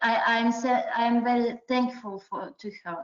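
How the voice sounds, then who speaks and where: With a non-native accent, a woman speaks at a fairly slow pace. Her pitch is fairly high. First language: not English. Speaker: adult learner, award-winning writer. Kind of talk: interview. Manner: halting.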